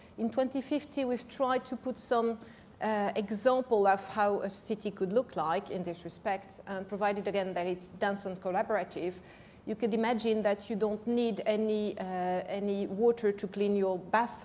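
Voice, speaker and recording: Here a woman talks at a moderate pace. Her intonation stays fairly even. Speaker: panelist. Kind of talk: panel discussion answer. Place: stage. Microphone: lapel.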